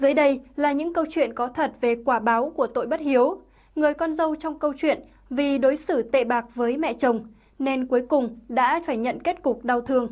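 This woman speaks at a moderate pace with a high pitch and fairly even intonation. The background is quiet. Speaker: channel presenter. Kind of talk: scripted narration. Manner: formal. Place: studio. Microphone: lapel.

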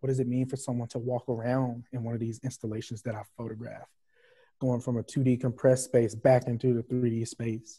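A man in a Southern US accent, fairly quick, somewhat breathy, dark and mellow in tone, monotone and flat, over a quiet background. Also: medium pitch for a man. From US South (Arkansas). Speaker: visual artist. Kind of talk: panel discussion. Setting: video call. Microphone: video call.

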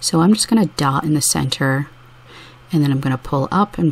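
Soft-spoken and soothing, a woman's voice comes through. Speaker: mandala dot painting artist. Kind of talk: art tutorial narration. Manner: soft-spoken, soothing.

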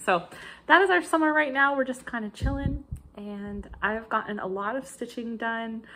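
A woman speaks in an American accent with a bright, sharp tone and lively intonation. Her moderate pace comes with big swings in loudness over light background noise. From United States. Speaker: crafting video creator; cross-stitch vlogger. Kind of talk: casual vlog chat. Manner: chatty with frequent fillers. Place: kitchen. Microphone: phone near.

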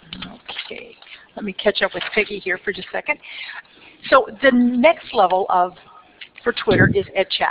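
With long, frequent pauses, a woman speaks in an animated tone at a fairly high pitch against noticeable background noise. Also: moderate pace. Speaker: educator presenting on professional development. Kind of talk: conference presentation. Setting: stage with audience.

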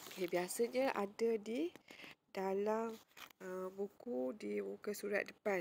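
Very slow female speech, medium in pitch, with ordinary rise and fall. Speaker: school librarian teacher. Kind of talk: tutorial. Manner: casual, frequent fillers like okey and uh.

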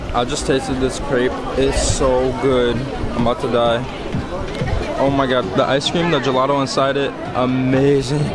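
Clear music plays in the background as the speech moves at a moderate pace. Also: man. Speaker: travel vlogger. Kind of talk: casual vlog chat. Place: street. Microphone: phone near.

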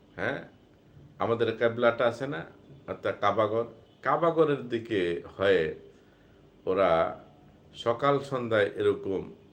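A man with an unremarkable speaking voice, pitched at a medium level. His pitch varies in an ordinary way. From Bangladesh, Cumilla. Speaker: Islamic preacher. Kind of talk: religious talk on a livestream. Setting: live stream.

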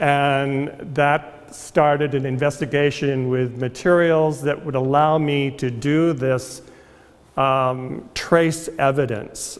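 A man speaks with fairly even intonation. His pace is very slow. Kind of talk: artist talk to audience. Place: hall.

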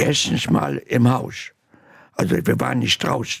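A man talks at a very slow pace over a quiet background. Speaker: Holocaust survivor. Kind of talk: interview answer. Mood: earnest, animated recollection. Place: studio. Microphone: studio mic.

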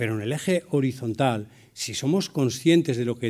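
The recording is very clean, with a silent background. A man with medium pitch speaks at a moderate pace with lively intonation. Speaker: business executive and cooperative leader. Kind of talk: keynote talk. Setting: conference hall with audience. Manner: vehement.

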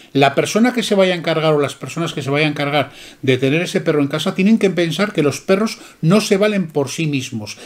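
Over a quiet background, a man talks at a fairly quick pace with lively intonation and a fairly high pitch. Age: 50s. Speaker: dog breeder. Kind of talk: casual chat. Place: shop. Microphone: camera far.

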